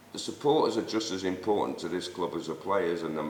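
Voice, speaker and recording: A man with a Mancunian accent, a very deep, low pitch and ordinary pitch variation, in audible room echo. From Manchester, northern England. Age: 60s. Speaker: Sunday league football figure, host's father. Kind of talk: casual debate.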